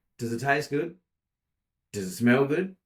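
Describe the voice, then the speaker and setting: A man with an Australian accent at a moderate pace. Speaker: podcast co-host. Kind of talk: casual chat. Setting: office. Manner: loud.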